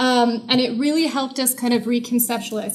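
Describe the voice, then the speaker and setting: A woman's high-pitched voice at a fairly quick pace, with noticeable background noise. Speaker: researcher on violent extremism. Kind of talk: conference presentation. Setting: symposium audience in a university. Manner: soft-spoken; frequent filler words.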